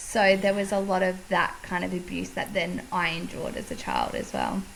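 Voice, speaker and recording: A woman with an Australian accent at a moderate pace, with audible room echo and noticeable background noise. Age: 30s. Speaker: podcast host. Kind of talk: casual chat.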